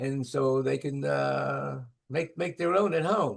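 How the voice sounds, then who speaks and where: A fairly high-pitched man with a Memphis accent. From US South, Memphis. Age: 70s. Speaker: bakery owner. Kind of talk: interview. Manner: halting.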